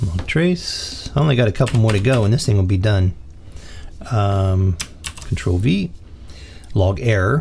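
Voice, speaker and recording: The speaker talks at a moderate pace with long, frequent pauses over noticeable background noise. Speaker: programming instructor. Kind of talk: tutorial. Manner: casual, halting with fillers.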